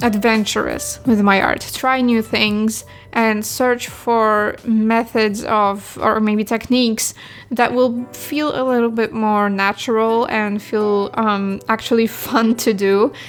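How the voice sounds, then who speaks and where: A woman's fairly high voice, monotone and flat, at a very slow pace with very even loudness and music in the background. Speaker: digital artist. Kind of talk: unscripted voiceover over speedpaint. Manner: casual, rambling.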